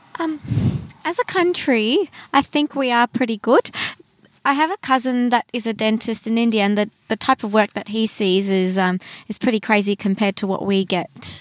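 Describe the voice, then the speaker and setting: A woman's fairly high voice in an Australian accent, moderately paced with lively intonation, recorded dry and close with no echo. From Brisbane, Australia. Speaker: dentist. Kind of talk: casual interview. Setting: in a car.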